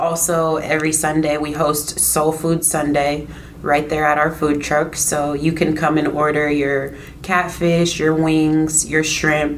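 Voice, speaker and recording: Speaking in a monotone with a very deep, low pitch and very even loudness, a woman with a Midwestern US accent comes through over noticeable background noise. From Iowa, Des Moines. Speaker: food truck owner. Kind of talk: casual interview.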